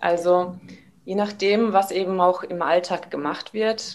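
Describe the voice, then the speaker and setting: A woman talks at a fairly slow pace with fairly even intonation. Hers is a plain, everyday voice. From Germany, Karlsruhe (Baden). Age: 30s. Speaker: taekwondo trainer. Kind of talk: casual interview. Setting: video call.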